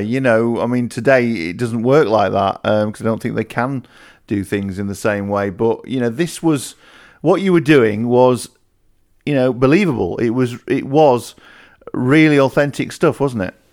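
At a moderate pace, a man with a Yorkshire accent speaks at medium pitch with lively intonation, captured in a very clean recording with a silent background. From northern England. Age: 40s. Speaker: podcast interviewer. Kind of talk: interview.

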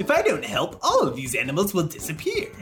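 Clear music plays in the background behind a put-on character voice. The pace is fairly quick. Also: man, high pitch for a man. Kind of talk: comic dramatic reading. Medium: game stream. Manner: arrogant, condescending.

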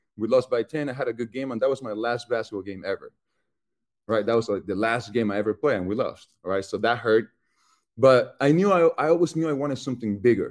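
A man speaks in a Chilean accent at a very fast pace. His medium pitch shows ordinary variation. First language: Spanish. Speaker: football player. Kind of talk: interview. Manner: casual.

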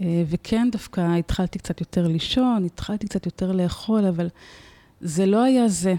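At a fairly slow pace, a woman speaks at medium pitch with a dark, mellow tone, ordinary pitch variation and very even loudness. The sound is dry and close with no echo, on a very clean recording with a silent background. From Israel, Tel Aviv. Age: 40s. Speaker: nonprofit founder and former therapist. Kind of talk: personal testimony in interview.

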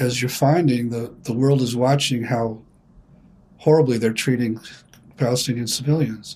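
Somewhat breathy, a man talks at a medium pitch with fairly even intonation. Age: 70s. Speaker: therapist and psychotherapy founder. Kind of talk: interview discussion.

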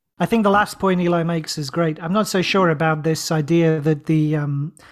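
The clip has an unremarkable speaking voice at a moderate pace. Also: man. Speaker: podcast co-host. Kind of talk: casual podcast chat.

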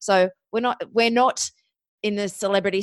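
Intonation stays monotone and flat as a woman with an Australian accent talks at a moderate pace. The sound is dry and close with no echo, against a quiet background. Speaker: podcast booking agency founder. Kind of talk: interview. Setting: remote internet call.

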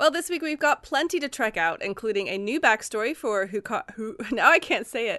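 A woman's raised, projected voice, high-pitched and bright, sharp, in a British accent with very wide pitch swings, fairly quick with hardly any pauses, dry and close with no echo. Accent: weird accent, British. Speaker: podcast co-host. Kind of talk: casual chat. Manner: animated.

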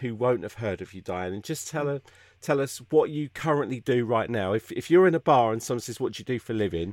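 The speaker has a British accent. The intonation is lively. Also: man. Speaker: podcast host. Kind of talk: casual chat. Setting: video call.

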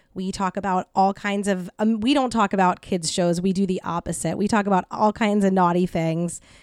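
In a very clean recording with a silent background and a dry, close sound with no echo, a woman with an unremarkable speaking voice talks at a moderate pace and medium pitch, with fairly even intonation and hardly any pauses. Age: 30s. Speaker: podcast host and comedy show organizer. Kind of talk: casual chat. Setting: in-person studio recording.

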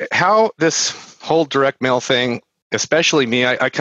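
A man with an American accent, medium-pitched and bright and sharp in tone, at a moderate pace with ordinary pitch variation, in a dry, close sound with no echo. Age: 40s. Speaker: real estate marketing entrepreneur. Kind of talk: casual interview chat. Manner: conversational with filler words.

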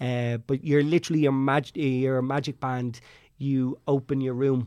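In an Irish accent, a man talks at a medium pitch with monotone, flat intonation against a quiet background. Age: 30s. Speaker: travel agent. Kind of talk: casual chat.

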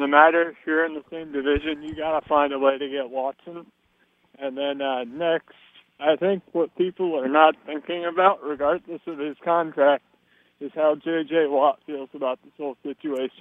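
A man's unremarkable speaking voice with an American accent, fairly high pitch, a moderate pace and big swings in loudness. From Texas, San Antonio. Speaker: radio caller. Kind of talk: call-in sports talk.

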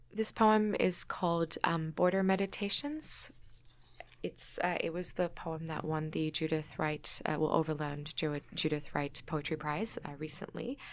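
With an Australian accent, a woman speaks fairly slowly in a very deep, low voice with fairly even intonation. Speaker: poet and human rights advocate. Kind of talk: interview; poetry reading. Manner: halting, many fillers.

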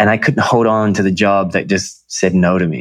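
A man with an Australian accent talks at a fairly quick pace in a fairly low pitch, with ordinary pitch variation. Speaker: emotional intelligence coach, former model. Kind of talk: interview conversation. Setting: video call.

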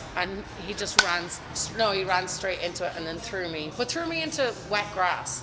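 A woman's medium-pitched voice amid noticeable background noise. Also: ordinary pitch variation, moderate pace. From County Meath, Ireland. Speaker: bar owner. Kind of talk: casual interview storytelling.

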